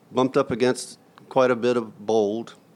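In a Southern US accent, a man talks at a medium pitch. His intonation stays fairly even at a moderate pace. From US South (Florida/Georgia). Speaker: hospital chief financial officer. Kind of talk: interview.

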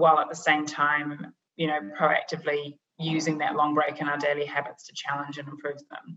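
Delivered at a fairly quick pace, the speech has a New Zealand accent and monotone, flat intonation. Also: woman. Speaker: business psychologist, leadership consultant. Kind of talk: interview podcast.

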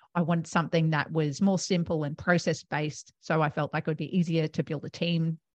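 Over a quiet background, a woman with an Australian accent talks at a fairly quick pace with hardly any pauses, her very deep, low pitch held in a monotone, flat intonation, the sound dry and close with no echo. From Australia, Melbourne. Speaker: accounting firm co-founder. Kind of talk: interview.

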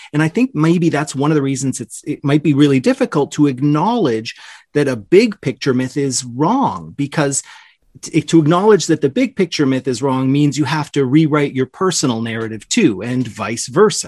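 A plain, everyday voice with a Canadian accent, lively intonation and a moderate pace, in dry, close sound with no echo. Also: man, fairly high pitch for a man. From Toronto, Canada. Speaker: audio describer. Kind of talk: panel discussion.

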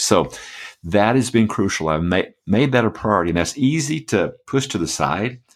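Vocal fry with very wide pitch swings. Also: man. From US Midwest (Michigan), born Atlanta. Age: 60s. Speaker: pastor and author. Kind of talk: interview.

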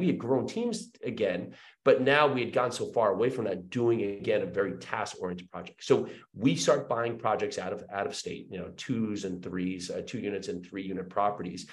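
The speaker has an American accent and talks at a moderate pace. The room echo is audible, and the loudness swings widely. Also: man. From New Jersey. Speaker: real estate investor. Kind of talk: interview.

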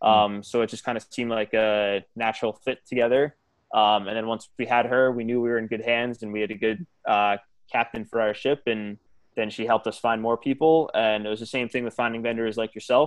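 Speaking with an American accent, a man keeps a medium pitch. His intonation is monotone and flat, his pace fairly quick. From New York, northern Westchester County. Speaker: groom, school chef. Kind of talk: casual chat.

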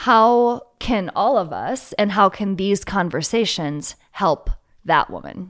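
A woman with an American accent, at a very slow pace and medium pitch, with lively intonation and vocal fry, on a very clean recording with a silent background. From US Midwest, small town southwestern Minnesota. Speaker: podcast host. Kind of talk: casual interview.

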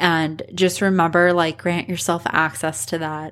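In a normal speaking voice, a woman talks at a fairly slow pace and fairly low pitch with ordinary pitch variation, on a very clean recording with a silent background. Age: 20s. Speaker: podcast host, brand designer. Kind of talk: solo podcast monologue.

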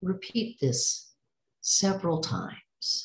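Somewhat breathy with a gentle, calm tone, a woman speaks very slowly using lively intonation. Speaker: meditation guide. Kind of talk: guided breathing meditation, slow spoken instructions. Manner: gentle, calm and soothing.

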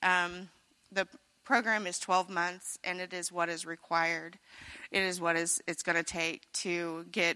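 Here a woman with an American accent speaks at a fairly low pitch in a bright, sharp tone with monotone, flat intonation. The recording is very clean with a silent background. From Missouri, US. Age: 30s. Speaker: recovery program resident giving testimony. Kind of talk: personal testimony.

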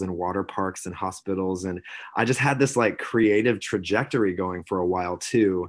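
A man speaks with an American accent. His voice is very deep and low. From US South, South Carolina. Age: 30s. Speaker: employer branding manager at a tech company. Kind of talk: interview. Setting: remote call.

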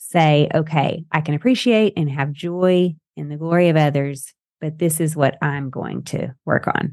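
A woman with a Southern US accent speaks at a moderate pace. Her very deep, low pitch comes over a quiet background. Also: ordinary pitch variation. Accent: Southern US, noticeable twang. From Texas-Arkansas border. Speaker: podcast host. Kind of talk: casual interview chat. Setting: video call over Zoom, host in Idaho.

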